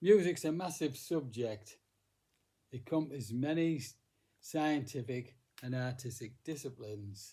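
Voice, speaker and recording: Speaking with long, frequent pauses, a man has a medium pitch, a somewhat breathy, dark, mellow tone and ordinary pitch variation. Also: moderate pace. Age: 80s+. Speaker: music teacher. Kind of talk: casual talk. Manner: halting.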